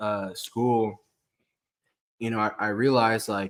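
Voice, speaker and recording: A man speaks with an American accent. His intonation is monotone and flat over a very clean recording with a silent background. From Kansas. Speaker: outdoorsman. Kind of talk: casual chat.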